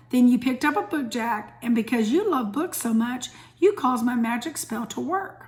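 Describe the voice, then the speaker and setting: In a put-on character voice, a woman sounds calm, gentle and raspy at a high pitch, moving at a moderate pace with lively intonation. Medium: read story.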